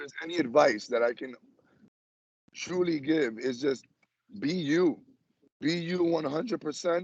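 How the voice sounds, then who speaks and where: Animated and fairly high-pitched, a man speaks at a moderate pace with ordinary pitch variation. He leaves long, frequent pauses, and his loudness swings widely. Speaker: physical education teacher. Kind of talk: interview.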